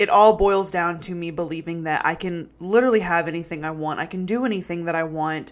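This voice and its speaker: A woman with an American accent speaks at a fairly low pitch. She goes at a fairly quick pace with hardly any pauses. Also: ordinary pitch variation. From Texas. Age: 20s. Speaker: podcast host, mindset coach. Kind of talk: casual monologue. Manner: animated.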